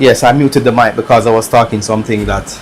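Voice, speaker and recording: Speaking at a fairly quick pace with a Jamaican accent, a man keeps a medium pitch and monotone, flat intonation amid noticeable background noise. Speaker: electronics repair streamer. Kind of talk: live stream commentary while repairing. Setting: live stream. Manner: casual, relaxed.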